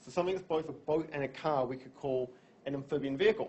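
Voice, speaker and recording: The pitch of this man's speech varies in an ordinary way. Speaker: university lecturer. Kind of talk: lecture. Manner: fast.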